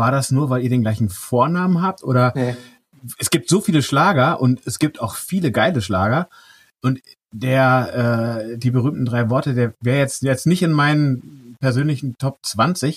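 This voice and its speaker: Somewhat breathy and at a medium pitch, a man speaks with ordinary pitch variation in a dry, close sound with no echo. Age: 40s. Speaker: podcast host. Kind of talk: casual interview.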